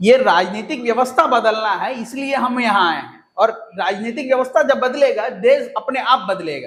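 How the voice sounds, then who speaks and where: A man's extremely high-pitched voice with ordinary pitch variation and hardly any pauses. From Andhra Pradesh, South India. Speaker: political activist. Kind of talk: podcast interview. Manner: halting, non-fluent Hindi.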